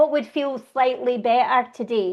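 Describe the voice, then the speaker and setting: Speaking at a moderate pace, a woman with a Scottish accent uses ordinary pitch variation. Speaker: laughter yoga instructor. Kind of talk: interview. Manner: animated.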